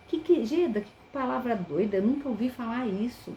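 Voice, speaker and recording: Through noticeable background noise, a woman talks at a fairly quick pace with a fairly high pitch and lively intonation. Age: 60s. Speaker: teacher. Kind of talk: webinar lecture. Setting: online live stream.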